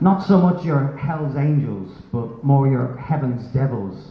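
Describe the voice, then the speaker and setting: Over noticeable background noise and audible room echo, a man with an Irish accent speaks at a fairly slow pace. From Ireland. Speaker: stand-up comedian. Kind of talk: stand-up. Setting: stage with audience.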